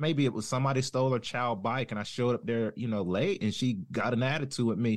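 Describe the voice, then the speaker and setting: A man with a Southern US accent, very fast and with hardly any pauses. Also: quiet background. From North Carolina. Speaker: former deputy, now plumber. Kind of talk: casual interview chat.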